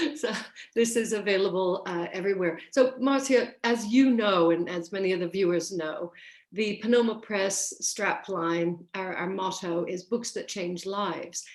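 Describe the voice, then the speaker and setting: A woman speaks fairly slowly. Noticeable background noise runs beneath her. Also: medium pitch for a woman, ordinary pitch variation. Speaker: author, prison service manager with a doctorate. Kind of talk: interview answer about her book.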